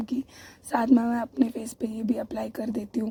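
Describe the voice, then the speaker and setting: The woman's pitch is fairly high. Her intonation stays monotone and flat. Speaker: vlogger. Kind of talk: casual vlog narration.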